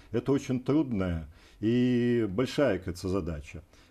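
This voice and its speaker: A man talks at a medium pitch with ordinary pitch variation. His tone is dark and mellow, and the background is quiet. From Belarus, Vitebsk; Belarus. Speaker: energy company executive and regional deputy; guest. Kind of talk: TV interview. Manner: halting. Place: studio. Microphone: lapel.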